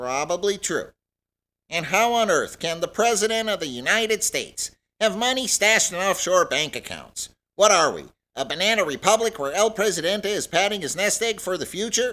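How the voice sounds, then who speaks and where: Pitched high, a man does a put-on character voice at a moderate pace in a very clean recording with a silent background. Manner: indignant, increasingly angry.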